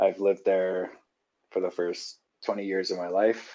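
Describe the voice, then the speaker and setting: A man with a Canadian accent speaks at a fairly slow pace with fairly even intonation. His voice is fairly low, with a dark, mellow tone. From Saskatchewan, Canada. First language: sign language. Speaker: podcast guest. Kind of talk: interview.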